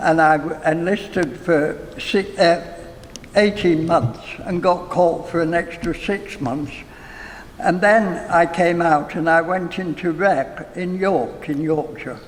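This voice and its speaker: Over noticeable background noise, a man speaks very slowly at a high pitch with fairly even intonation. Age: 80s+. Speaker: retired actor and nurse. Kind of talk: interview answer.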